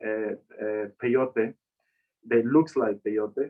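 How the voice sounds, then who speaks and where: A man with a Spanish accent and ordinary pitch variation. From Mexico. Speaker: chef and cactus researcher. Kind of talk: online talk, casual interview.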